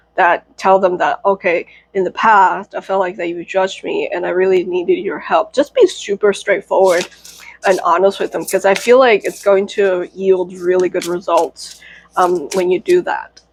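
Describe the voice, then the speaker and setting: A woman speaks at a moderate pace in an ordinary speaking voice. Her pitch is medium and her intonation fairly even. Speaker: tarot reader. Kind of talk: tarot reading. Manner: casual, many fillers.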